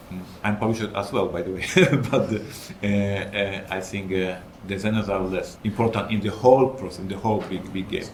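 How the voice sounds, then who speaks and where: Audible room echo surrounds a man speaking fairly quickly in a flat monotone. His voice is fairly low and somewhat breathy. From Poland. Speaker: game designer and publisher. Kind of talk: panel discussion.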